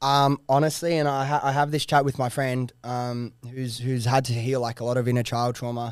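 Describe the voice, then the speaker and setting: The recording is very clean, with a silent background. A man at medium pitch speaks at a moderate pace in a monotone, flat intonation, with hardly any pauses. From Sydney, Australia. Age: 20s. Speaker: entrepreneur. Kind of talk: casual chat. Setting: studio.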